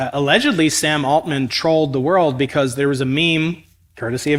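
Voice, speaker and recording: A normal speaking voice comes from a man with an American accent and a fairly high pitch. He talks at a fairly quick pace with fairly even intonation. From United States. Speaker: cosmologist and physics professor interviewing a guest. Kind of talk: interview on stage. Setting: stage with audience.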